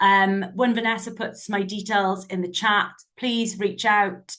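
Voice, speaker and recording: Speaking with a Welsh accent, a woman has a bright, sharp tone at medium pitch. Her intonation is fairly even and her pace moderate. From Southwest Wales. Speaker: software sales representative. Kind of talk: product demo.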